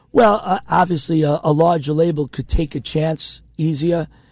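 A man with an American accent and a normal speaking voice talks at a moderate pace with a fairly high pitch and fairly even intonation in a very clean recording with a silent background. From Queens, New York. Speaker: indie record label founder and musician. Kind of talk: casual interview chat. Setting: radio studio.

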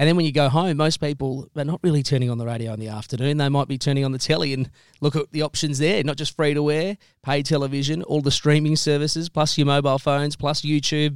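On a very clean recording with a silent background, a man with an Australian accent and a fairly high pitch talks very fast with fairly even intonation. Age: young. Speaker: talk radio host. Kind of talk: interview.

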